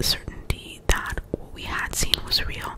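A woman whispers at a fairly slow pace. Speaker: ASMR creator. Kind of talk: scary story reading. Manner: whispered, soft. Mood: spooky storytelling. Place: home room. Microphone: studio mic.

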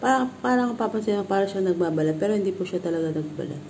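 Over light background noise, the speaker goes at a very fast pace with ordinary pitch variation. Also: woman. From Philippines. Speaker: vlogger. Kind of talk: product review vlog. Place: home room. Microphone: phone near.

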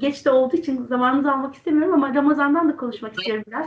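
This woman's voice is high-pitched. The room echo is audible. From Turkey. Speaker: interview host. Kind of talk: online interview. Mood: warm, smiling, friendly. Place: home room. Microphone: video call.

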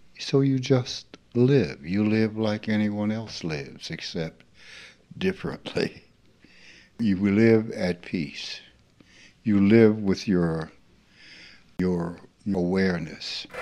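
A man with a Southern US accent, a very slow pace, long, frequent pauses, a fairly low pitch, ordinary pitch variation and a dark, mellow tone. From US South, rural Mississippi. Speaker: spiritual teacher. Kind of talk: informal spiritual talk.

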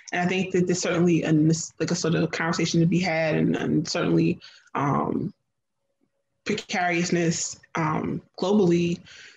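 A woman with an American accent, fairly low pitch and vocal fry, with monotone, flat intonation, very even loudness and light background noise. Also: moderate pace. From New Jersey, US. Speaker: food writer and chef; guest. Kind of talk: panel discussion. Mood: reflective, thoughtful. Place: home room. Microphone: video call.

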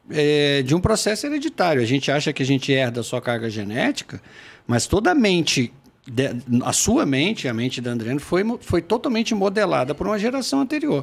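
Male voice at a fairly quick pace with very wide pitch swings. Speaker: podcast guest. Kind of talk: interview answer. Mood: reflective, earnest. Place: studio. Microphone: studio mic.

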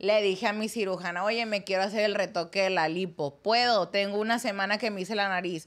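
A woman talks in a normal speaking voice at a fairly quick pace. She hardly pauses at all. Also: medium pitch for a woman, fairly even intonation. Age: 20s. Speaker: content creator. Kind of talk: casual chat.

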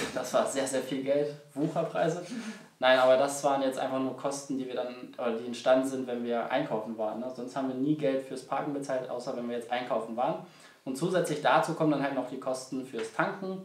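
A man talks at a fairly quick pace with fairly even intonation, and audible room echo surrounds his voice. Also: medium pitch for a man. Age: 20s. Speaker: travel vlogger. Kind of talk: casual travel vlog narration. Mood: relaxed, friendly. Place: home room.

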